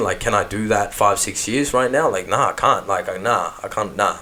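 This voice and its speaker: The talk moves fairly quickly in an Australian accent. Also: man. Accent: natural Australian. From Melbourne, Australia. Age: 30s. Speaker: rapper. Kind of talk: casual interview chat. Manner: animated.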